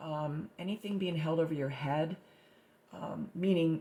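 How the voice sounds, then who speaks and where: A woman speaks with a very deep, low pitch and a dark, mellow tone, somewhat breathy and with fairly even intonation. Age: 60s. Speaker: artist. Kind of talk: personal testimony about own artwork. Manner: halting, many fillers and repetitions.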